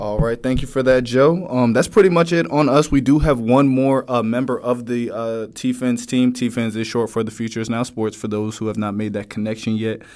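A man with an American accent has a plain, everyday voice at a medium pitch. He talks with ordinary pitch variation and hardly any pauses. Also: fairly quick pace. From New Jersey. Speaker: sports podcast host. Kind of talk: casual podcast introduction. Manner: casual, filler-heavy.

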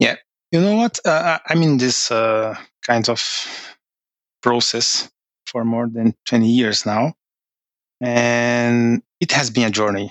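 With a Portuguese accent, a man speaks at a medium pitch and a very slow pace, leaving long, frequent pauses. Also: ordinary pitch variation. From Brazil. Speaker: finance manager. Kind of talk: interview. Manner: halting.

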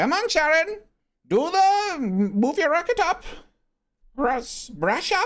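Someone puts on a character voice at an extremely high pitch with very wide pitch swings. The delivery is very slow, with long, frequent pauses. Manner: instructing, prompting.

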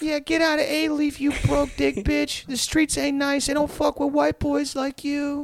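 A put-on character voice with a Houston accent comes through at a high pitch. It moves at a moderate pace with hardly any pauses. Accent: South Houston. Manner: aggressive, taunting.

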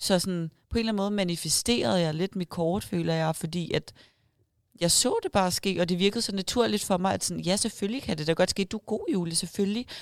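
In a plain, everyday voice, a woman talks at a fairly quick pace with a medium pitch and ordinary pitch variation. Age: 20s. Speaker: bikini fitness athlete and online coach. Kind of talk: casual interview. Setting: event room at a restaurant.

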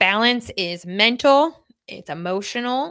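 With a New York accent, a woman talks at a very slow pace with lively intonation. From Long Island, New York. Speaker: fitness coach and podcast host. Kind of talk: solo podcast monologue. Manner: casual, filler-heavy.

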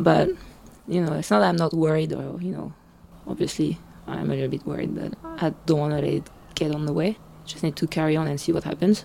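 Noticeable background noise runs under a woman speaking with a French accent and pausing long and often. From France. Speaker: blogger. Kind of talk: casual interview.

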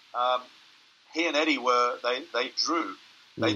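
A man is speaking. He has an Australian accent. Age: 30s. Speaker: strength coach and powerlifter. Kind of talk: casual interview.

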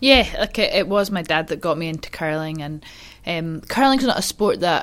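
In a Scottish accent, the speaker goes at a moderate pace on a very clean recording with a silent background. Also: woman. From Scotland, Highland Perthshire. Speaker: curler, athlete. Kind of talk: casual chat.

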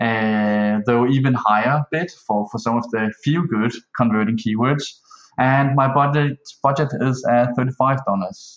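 With a Danish accent, a man speaks at a medium pitch with ordinary pitch variation. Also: fairly slow pace. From Denmark. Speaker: online seller asking a question. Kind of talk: recorded voicemail question. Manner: hesitant.

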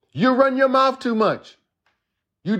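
A man speaks at an extremely high pitch. His tone is animated and the background quiet. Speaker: preacher. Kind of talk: sermon, preacher in full flow, impassioned and exhorting. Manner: animated, emphatic, building in rhythmic repetition; repeats words and stumbles into restarts while thinking aloud.

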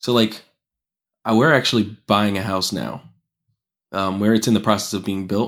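At a fairly quick pace, a speaker with an American accent uses fairly even intonation and long, frequent pauses on a very clean recording with a silent background. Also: man. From Pennsylvania. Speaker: car mechanic. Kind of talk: casual chat.

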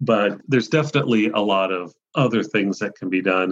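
A man with a normal speaking voice talks at a moderate pace in a fairly low pitch, with ordinary pitch variation. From Ohio. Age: 50s. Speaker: mycologist and magazine editor. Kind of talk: interview.

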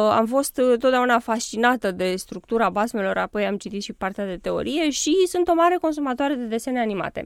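Her high-pitched voice has lively intonation, and the sound is dry and close with no echo. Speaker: children's author. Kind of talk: radio interview.

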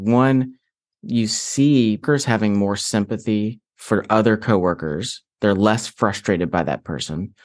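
A plain, everyday voice from a man, fairly low in pitch, at a fairly slow pace with ordinary pitch variation, over a quiet background. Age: 40s. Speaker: author and Enneagram teacher. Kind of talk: interview.

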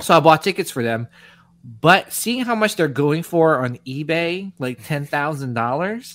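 A man's plain, everyday voice, fairly high in pitch, fairly slow, with lively intonation. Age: 40s. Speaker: podcast host. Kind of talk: casual chat.

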